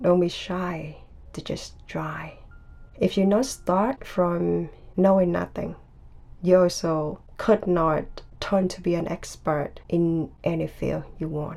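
With music playing in the background, a woman talks at a very slow pace. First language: Vietnamese. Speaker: podcaster. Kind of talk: personal monologue.

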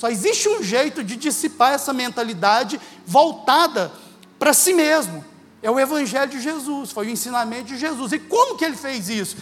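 Pitched extremely high for a man, his voice moves with lively intonation and big swings in loudness. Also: moderate pace. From Minas Gerais, Brazil (Uberlândia). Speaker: guest preacher. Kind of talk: sermon. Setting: church.

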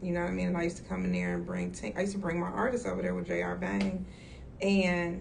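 Audible room echo and noticeable background noise fill the clip. Through them, a woman talks in an American accent. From Chicago suburbs, US Midwest. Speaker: music manager. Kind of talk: casual interview. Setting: in-person interview.

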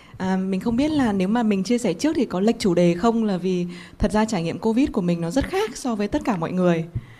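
A woman speaks at a very fast pace with hardly any pauses. Her tone is dark and mellow and somewhat breathy. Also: medium pitch for a woman. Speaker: business leader. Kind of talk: panel talk.

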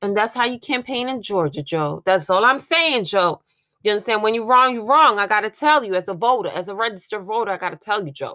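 Animated in tone, a woman talks at a very fast pace with fairly high pitch and lively intonation. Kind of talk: pep talk. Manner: animated, loud, bossy and encouraging, with profanity and hype-man energy.

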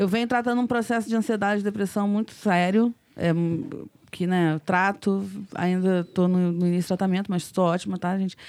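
A plain, everyday voice from a woman, medium in pitch, fairly quick, with very even loudness. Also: fairly even intonation. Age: 30s. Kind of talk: casual chat.

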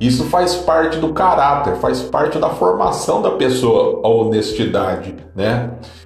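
Against noticeable background noise and audible room echo, a man talks at a fairly slow pace with hardly any pauses. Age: 40s. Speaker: podcast host. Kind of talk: casual monologue.

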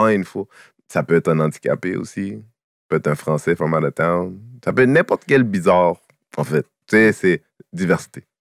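In a plain, everyday voice, a man talks at a moderate pace with lively intonation, the sound dry and close with no echo on a very clean recording with a silent background. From Quebec, Haitian family. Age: 40s. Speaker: comedian. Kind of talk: casual chat.

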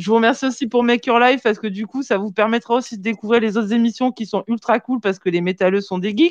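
A woman talks at a very fast pace with hardly any pauses. Her pitch varies in an ordinary way. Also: fairly high pitch for a woman, dry, close sound with no echo. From southern France, Marseille and Vaucluse. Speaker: metal web show host. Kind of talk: casual live-stream chat. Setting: online live stream with remote guests.

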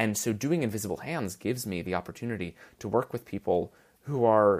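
In a very clean recording with a silent background, a man with an ordinary speaking voice talks at a fairly quick pace, his fairly low pitch showing ordinary variation. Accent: American. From New York City. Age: 20s. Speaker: nonprofit founder, college student. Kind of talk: casual interview.

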